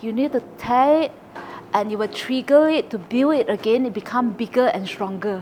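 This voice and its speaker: Fairly high in pitch, a woman speaks at a moderate pace with lively intonation. Noticeable noise sits in the background. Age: 40s. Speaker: retail executive. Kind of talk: podcast interview.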